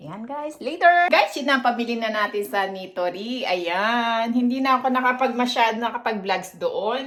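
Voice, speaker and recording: With lively intonation and a fairly high pitch, a woman talks at a moderate pace. She leaves hardly any pauses. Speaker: vlogger. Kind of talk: casual vlog. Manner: halting. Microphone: no external mic, quiet.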